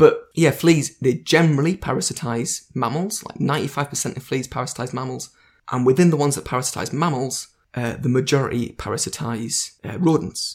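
Somewhat breathy and fairly high in pitch, a man talks with ordinary pitch variation and big swings in loudness. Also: moderate pace. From northeast England. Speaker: podcaster and invertebrate enthusiast. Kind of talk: casual chat interview.

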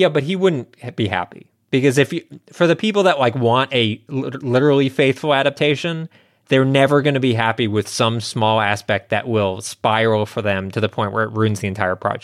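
Here is a plain, everyday voice with lively intonation. The pace is fairly quick. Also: man, medium pitch for a man. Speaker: podcast co-host. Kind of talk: casual banter, podcast chat. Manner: jokey, interrupts often.

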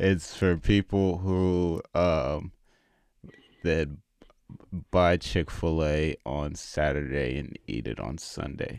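A man with an American accent speaks very slowly in a very deep, low pitch and a relaxed tone, with ordinary pitch variation and long, frequent pauses. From Texas, Houston. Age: 20s. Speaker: comedian. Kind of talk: casual comedic chat. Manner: relaxed, laid-back.

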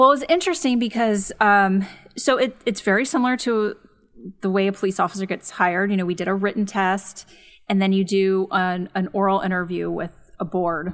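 Someone with an American accent speaks at a fairly quick pace with ordinary pitch variation. The recording is very clean, with a silent background. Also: woman, medium pitch for a woman. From Los Angeles suburbs, California. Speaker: psychologist and podcast host. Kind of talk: casual chat.

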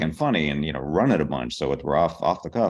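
A man talks in a very deep, low pitch with vocal fry and ordinary pitch variation. The background is quiet. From Pittsburgh, Pennsylvania. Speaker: TV comedy writer. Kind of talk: interview.

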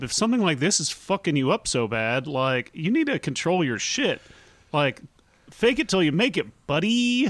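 At a moderate pace, a man with a high pitch speaks in very wide pitch swings. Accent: slight Southern. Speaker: comedy podcast co-host. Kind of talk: casual chat.

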